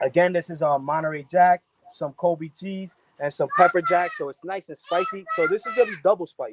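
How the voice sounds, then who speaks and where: A man with a high voice talks at a fairly quick pace in an animated tone, with ordinary pitch variation and big swings in loudness. The sound is dry and close, with no echo. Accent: American. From New Jersey, US (West New York). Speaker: chef. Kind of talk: live cooking demonstration. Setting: outdoors in his yard on a video call.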